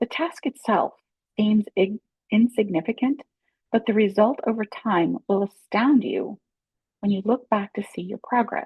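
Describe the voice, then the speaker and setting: A somewhat breathy voice with a gentle tone at a moderate pace. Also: woman. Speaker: life coach. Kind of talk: casual talk to camera. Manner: gentle, encouraging.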